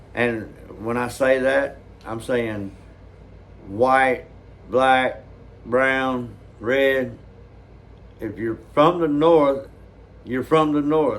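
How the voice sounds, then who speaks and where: A man with a Southern US accent talks at a very slow pace, at medium pitch, with long, frequent pauses. His intonation is fairly even, and room echo is audible. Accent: Southern drawl. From US South. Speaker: reaction video host. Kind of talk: casual chat.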